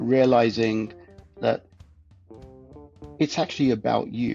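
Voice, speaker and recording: A man talks while music plays in the background. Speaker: podcast guest. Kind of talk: interview answer.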